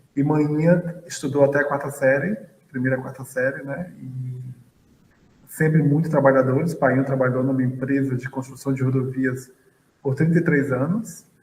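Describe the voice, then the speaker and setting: Fairly even intonation and a moderate pace mark this voice with a northeastern Brazilian accent. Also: man, fairly high pitch for a man. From Bahia, Brazil (Feira de Santana). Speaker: physics professor and astrophysicist. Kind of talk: interview.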